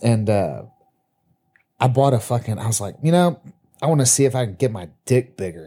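A man's medium-pitched, somewhat breathy voice with a dark, mellow tone, lively intonation, a moderate pace and long, frequent pauses. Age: 30s. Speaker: podcast co-host. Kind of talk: casual chat.

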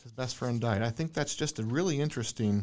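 Speaking fairly quickly in a normal speaking voice, a man keeps a medium pitch with ordinary pitch variation. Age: 30s. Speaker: podcast host. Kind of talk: casual interview. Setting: guest's office.

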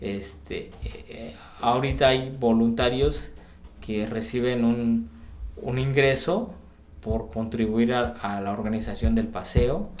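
A man's lively intonation at a very slow pace, with audible room echo. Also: medium pitch for a man. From Oaxaca, Mexico. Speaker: sociologist and cycling activist. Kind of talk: interview conversation. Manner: halting, many fillers.

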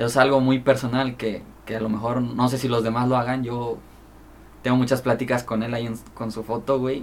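Monotone, flat intonation from a man with a Mexican accent, medium pitch and a fairly quick pace. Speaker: rapper and freestyler. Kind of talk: casual chat. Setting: studio.

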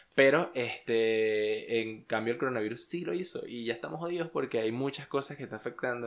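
A man with a plain, everyday voice talks at a fairly quick pace and medium pitch. His pitch variation is ordinary, on a very clean recording with a silent background. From Venezuela, Los Llanos. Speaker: podcast co-host. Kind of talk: casual chat.

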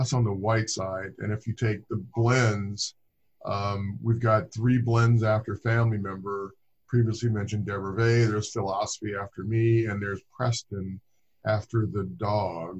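Over a quiet background, a man speaks in a flat monotone at a moderate pace, his voice fairly low and somewhat breathy. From Southern California (Inglewood). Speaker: winemaker. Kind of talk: casual interview.

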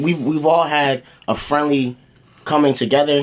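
A man speaks with a fairly high pitch and fairly even intonation. Noticeable background noise is present. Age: 20s. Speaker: podcast guest, high school friend. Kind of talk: casual group chat.

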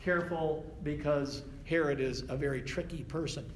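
With an ordinary speaking voice, a man talks at a moderate pace in a fairly high pitch with ordinary pitch variation. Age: 60s. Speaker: Bible study teacher. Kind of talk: Bible study class. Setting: church classroom with group.

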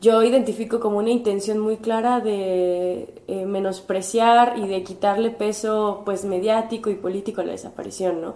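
A woman speaks at medium pitch with a dark, mellow tone and monotone, flat intonation. Her pace is moderate, with hardly any pauses. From Puebla, Mexico. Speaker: graduate student and human rights advocate. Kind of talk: interview.

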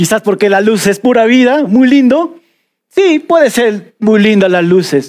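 Lively intonation with a Peruvian Amazon accent, at a fairly slow pace and very even loudness. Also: man. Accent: Peruvian jungle (selva) accent, noticeable. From Peruvian Amazon (selva). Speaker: pastor. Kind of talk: sermon. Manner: animated.

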